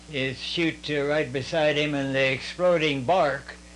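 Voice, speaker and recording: Speaking at a fairly slow pace with an American accent, a man uses a fairly high pitch and ordinary pitch variation amid noticeable background noise and audible room echo. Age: 90s. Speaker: war veteran. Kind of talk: casual interview. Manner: halting, many fillers.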